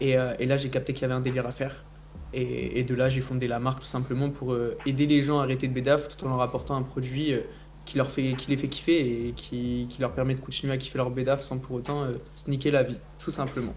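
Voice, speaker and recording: A man at a fairly quick pace, monotone and flat, with audible room echo. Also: medium pitch for a man. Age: 20s. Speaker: founder of a CBD brand. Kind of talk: casual debate.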